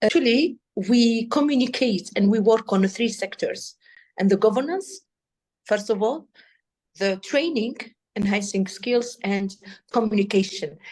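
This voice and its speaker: A woman with an Arabic accent speaks at a fairly high pitch, somewhat breathy, with ordinary pitch variation. Her speech has long, frequent pauses. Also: fairly slow pace. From Tunisia. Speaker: AI policy expert. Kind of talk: interview. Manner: halting; animated.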